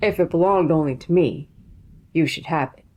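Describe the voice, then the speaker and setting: A put-on character voice at a middle pitch and a fairly quick pace. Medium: read story.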